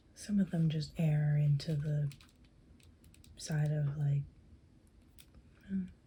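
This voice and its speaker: Soft-spoken and somewhat breathy, a woman talks at a fairly slow pace with a very deep, low pitch, a dark, mellow tone and fairly even intonation. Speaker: cosplayer and ASMR creator. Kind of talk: ASMR soft-spoken rambling about figures. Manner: soft-spoken, rambling, casual.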